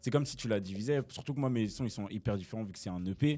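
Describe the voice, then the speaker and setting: A man's dark, mellow voice at a very fast pace, with ordinary pitch variation. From Brussels, Belgium. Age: young. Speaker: rapper. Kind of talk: casual interview answer.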